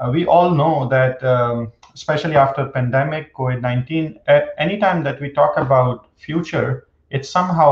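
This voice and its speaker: Against a quiet background with audible room echo, a man speaks somewhat breathily with fairly even intonation. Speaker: panel moderator, professor. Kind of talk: panel moderator introduction. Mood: friendly, light humor. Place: home room. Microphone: webcam.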